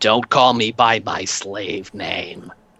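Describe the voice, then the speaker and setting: A man puts on a raspy character voice in a New York accent, his pitch sitting in the medium range. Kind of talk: low, throaty.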